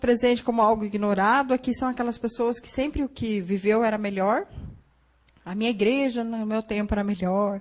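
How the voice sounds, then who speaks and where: A woman talks in a normal speaking voice at a fairly high pitch. Her pace is moderate, with ordinary pitch variation. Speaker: psychologist giving a church talk. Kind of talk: lecture. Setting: church Sunday school class.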